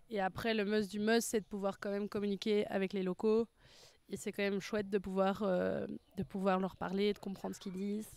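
A woman's medium-pitched voice at a fairly quick pace, with monotone, flat intonation and a dry sound with no echo. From Belgium. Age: 20s. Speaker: language student. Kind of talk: testimony; interview answer. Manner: hesitant, many fillers. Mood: relaxed, positive. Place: garden. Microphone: handheld.

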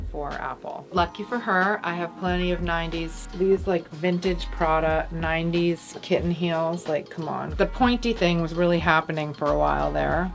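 A woman talks at a moderate pace while clear music runs underneath. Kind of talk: casual closet tour chat. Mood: relaxed, nostalgic. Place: home room.

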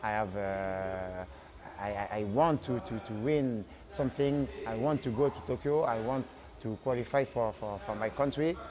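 A man with a French accent, lively intonation and a fairly slow pace, over noticeable background noise. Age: 30s. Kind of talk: interview. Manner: halting. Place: gym. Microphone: lapel.

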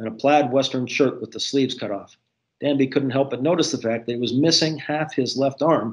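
The background stays quiet as someone reads aloud in a natural voice.

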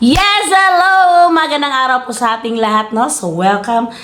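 Over noticeable background noise and audible room echo, a woman talks fairly slowly at a high pitch, her voice swinging very widely. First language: Cebuano (speaking Tagalog). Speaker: YouTuber and hog farmer. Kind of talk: casual tutorial vlog. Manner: halting, stumbling over words; laughs often.

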